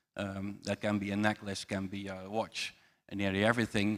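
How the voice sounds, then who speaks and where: In a very clean recording with a silent background, a man with a Dutch accent speaks at a moderate pace in a fairly low pitch. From southern Netherlands, Eindhoven. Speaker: finance executive. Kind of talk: panel self-introduction.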